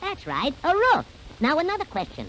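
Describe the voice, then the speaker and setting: Over clear background noise, a put-on character voice with an extremely high pitch moves at a moderate pace. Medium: read story. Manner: chuckling, upbeat.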